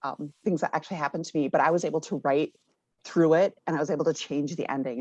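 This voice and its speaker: A very fast woman with an American accent, very deep and low in pitch, fairly even intonation, quiet background. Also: dry, close sound with no echo. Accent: Minnesota accent, comes out a lot. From Minnesota, US. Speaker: author and education professor. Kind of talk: interview. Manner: halting, many fillers.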